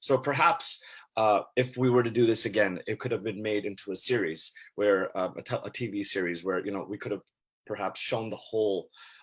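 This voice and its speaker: At a fairly quick pace, a man with a Canadian accent talks at fairly low pitch with ordinary pitch variation. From Canada. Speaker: actor. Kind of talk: panel discussion. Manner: halting.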